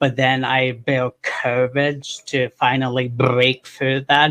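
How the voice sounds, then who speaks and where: Very slowly, a man speaks in a flat monotone at medium pitch. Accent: American. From western Pennsylvania. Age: 30s. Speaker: podcast host. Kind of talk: interview.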